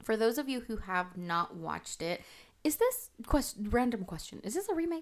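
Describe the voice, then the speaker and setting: The pace is moderate and the pitch swings very widely. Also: woman, fairly high pitch for a woman. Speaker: podcast co-host. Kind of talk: casual chat.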